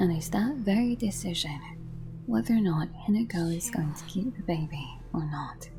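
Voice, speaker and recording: Soft-spoken speech moves at a moderate pace with music in the background. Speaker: game theory commentator. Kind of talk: video game theory commentary.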